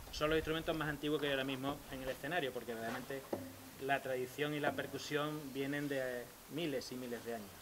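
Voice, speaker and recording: A man with an Andalusian accent talks at a fairly quick pace in a fairly high pitch. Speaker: percussionist in early music ensemble. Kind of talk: concert talk introducing instruments.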